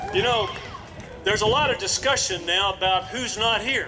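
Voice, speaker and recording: Over music in the background and with audible room echo, a raised, projected voice speaks with a Texan accent. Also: man. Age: 60s. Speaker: politician. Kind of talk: political rally speech. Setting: outdoor stage with crowd.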